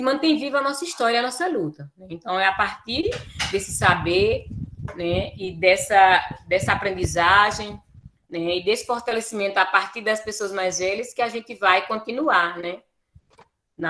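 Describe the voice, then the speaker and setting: A woman with a plain, everyday voice at medium pitch and moderate pace. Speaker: teacher and quilombola educator. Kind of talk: lecture presentation.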